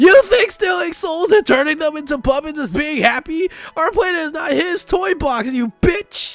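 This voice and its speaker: Over faint music in the background, a man puts on a character voice at an extremely high pitch and a moderate pace. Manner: loud, angry.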